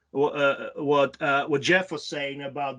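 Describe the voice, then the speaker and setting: A man speaks with a non-native accent at a moderate pace. The background is quiet. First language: not English (English is his third language). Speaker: transportation planner leading a meeting. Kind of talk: online meeting facilitation. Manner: halting, many fillers.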